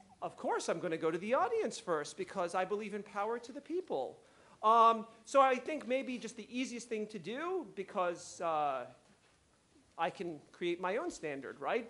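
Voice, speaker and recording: A man with a high pitch and a bright, sharp tone speaks in a raised, projected voice. His pitch swings very widely at a moderate pace. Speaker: conference panel moderator. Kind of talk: panel moderation. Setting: conference stage with audience. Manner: loud.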